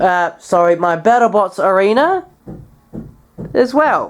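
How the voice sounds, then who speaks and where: A woman speaks at a fairly slow pace with lively intonation. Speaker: hobbyist vlogger. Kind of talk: casual show-and-tell vlog. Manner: halting, with many fillers.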